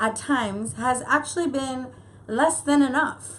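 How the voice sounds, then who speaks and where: Speaking in an American accent, a woman uses a high pitch with ordinary pitch variation. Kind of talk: casual talk to camera.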